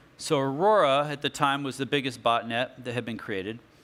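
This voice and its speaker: A man talks at a fairly quick pace in a medium-pitched voice with a bright, sharp tone. The recording is very clean, with a silent background. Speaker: technology speaker on cybersecurity. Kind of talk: conference talk. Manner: fast.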